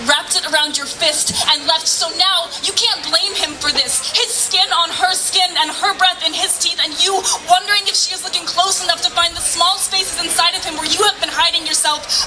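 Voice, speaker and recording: Over music in the background, the speaker keeps a moderate pace with hardly any pauses and fairly even intonation. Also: woman, extremely high pitch for a woman. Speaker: slam poet. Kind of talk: slam poetry performance. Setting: live outdoor event.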